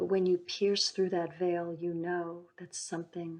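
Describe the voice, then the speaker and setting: This woman speaks at a very slow pace with a fairly low pitch. Her tone is soothing and her intonation monotone and flat. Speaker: psychic healer and meditation guide. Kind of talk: guided meditation. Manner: slow, soothing.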